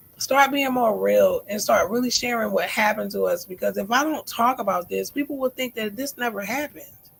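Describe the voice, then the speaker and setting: A woman talks fairly fast with hardly any pauses while noticeable noise plays behind her. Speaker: livestream host. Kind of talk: live stream chat reading comments. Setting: live stream.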